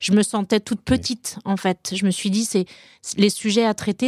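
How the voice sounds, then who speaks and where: In a very clean recording with a silent background and a dry, close sound with no echo, a woman with a medium pitch and a plain, everyday voice speaks at a fairly slow pace. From Brittany, France. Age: 40s. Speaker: HR director. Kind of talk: interview.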